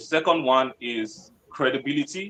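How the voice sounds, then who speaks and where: This is a man with a fairly high pitch. His intonation is lively. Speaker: webinar speaker on freelancing. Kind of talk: webinar presentation.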